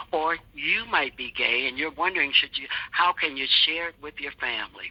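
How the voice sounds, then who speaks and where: Noticeable noise fills the background as speech proceeds at a moderate pace. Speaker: podcast host and interviewer. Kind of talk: podcast introduction.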